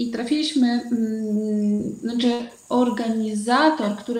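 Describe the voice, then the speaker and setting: A woman's fairly high voice amid audible room echo and noticeable background noise. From Uzbekistan. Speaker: entrepreneur running women's projects. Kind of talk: live-streamed panel discussion.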